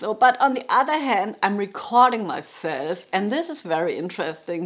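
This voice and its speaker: A woman with a German accent at a moderate pace. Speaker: jazz guitarist and music teacher. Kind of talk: casual vlog monologue. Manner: halting, with frequent restarts.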